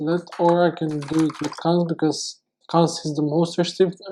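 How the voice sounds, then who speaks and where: With a non-native accent, this speaker keeps to a moderate speed. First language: not English. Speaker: programming tutor. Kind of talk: tutorial. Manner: halting.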